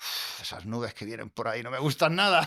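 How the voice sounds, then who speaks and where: A man speaks in a Murcian accent with lively intonation. His tone is bright and sharp. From Murcia, Spain. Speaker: astrophotographer. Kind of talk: interview answer. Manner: warm, down-to-earth.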